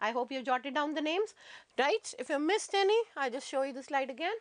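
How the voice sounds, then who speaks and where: A woman's high-pitched voice at a very fast pace, with very wide pitch swings, over a quiet background. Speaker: teacher. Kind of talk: lecture.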